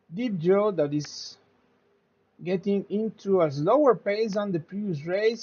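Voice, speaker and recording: The speech moves at a very slow pace. It carries a Spanish accent. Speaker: sim racing commentator. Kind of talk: live commentary. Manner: halting.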